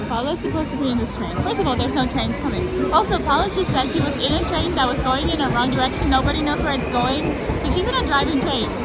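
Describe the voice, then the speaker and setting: Against crowd noise in the background, a woman talks at a very fast pace with hardly any pauses and ordinary pitch variation, in a dry sound with no echo. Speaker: vlogger. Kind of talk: casual vlog chat. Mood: amused, mildly stressed. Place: station. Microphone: phone near.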